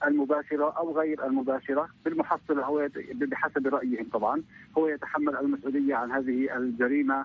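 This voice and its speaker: A man at a moderate pace, with fairly even intonation, very even loudness and a dry sound with no echo. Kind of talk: interview answer. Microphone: phone line.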